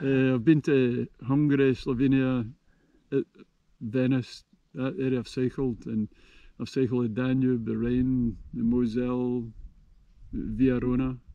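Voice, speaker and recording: Speaking fairly slowly with a Scottish accent, a man keeps a monotone, flat intonation broken by long, frequent pauses. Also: medium pitch for a man. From Scotland. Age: 70s. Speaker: touring cyclist. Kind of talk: casual interview.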